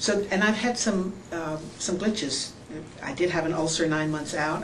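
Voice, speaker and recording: A woman speaks with audible room echo and noticeable background noise around her. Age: 60s. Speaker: surgery patient. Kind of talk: testimony. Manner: halting.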